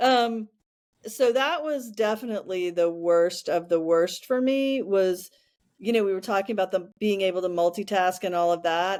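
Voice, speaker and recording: The pace is moderate throughout. It is a plain, everyday voice. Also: woman, medium pitch for a woman, ordinary pitch variation. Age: 60s. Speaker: podcast co-host. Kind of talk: casual chat.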